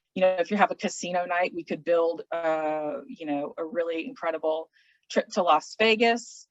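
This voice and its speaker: At a fairly slow pace, a woman with a normal speaking voice and a fairly low pitch talks with ordinary pitch variation in a dry, close sound with no echo. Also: big swings in loudness. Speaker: travel specialist for an auction services company, hospitality professional. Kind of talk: business presentation / explanatory talk. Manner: casual, conversational, with filler words.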